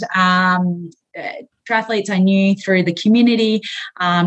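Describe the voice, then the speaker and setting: A woman talks in an Australian accent. Her voice sounds somewhat breathy. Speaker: physiotherapist and strength coach. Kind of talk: interview conversation.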